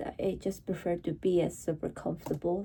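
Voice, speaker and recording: A woman is speaking. She has a Mongolian accent. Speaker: vlogger. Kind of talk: casual vlog chat. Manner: casual, slightly halting.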